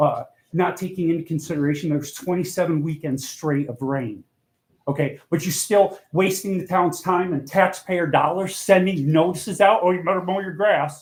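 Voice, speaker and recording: A man talks loudly. His pitch is high. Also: ordinary pitch variation. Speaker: resident speaking at public comment. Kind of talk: public comment at town meeting. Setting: town board meeting hall. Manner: fast.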